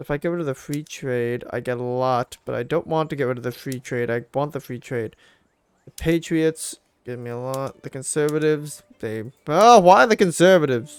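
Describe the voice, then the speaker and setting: The speaker talks at a moderate pace with ordinary pitch variation, the sound dry and close with no echo. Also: man, fairly high pitch for a man. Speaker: gaming YouTuber. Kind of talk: let's play commentary. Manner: animated; loud.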